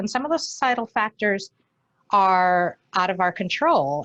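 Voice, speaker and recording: A woman's normal speaking voice at a medium pitch, lively in intonation, with a dry, close sound and no echo. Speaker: functional voice coach. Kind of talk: conference presentation.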